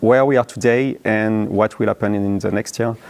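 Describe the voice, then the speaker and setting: Speaking with a strong French accent, a man uses a medium pitch and ordinary pitch variation. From France. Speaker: app founder and conference speaker. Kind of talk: conference talk. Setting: conference room with live audience. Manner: halting, many fillers.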